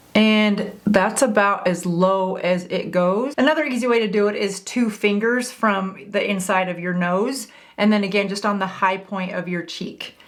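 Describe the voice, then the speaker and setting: Hardly pausing, a woman talks at a moderate pace and medium pitch with ordinary pitch variation. Audible room echo surrounds her voice. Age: 50s. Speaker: beauty content creator. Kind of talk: tutorial. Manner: casual, friendly.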